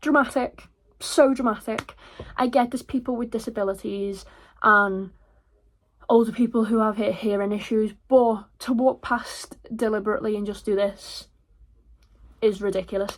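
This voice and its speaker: A woman's fairly high voice at a moderate pace, fairly even in intonation, with long, frequent pauses, on a very clean recording with a silent background. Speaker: busker and singer. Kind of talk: casual vlog talk to camera. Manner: chatty, rambling.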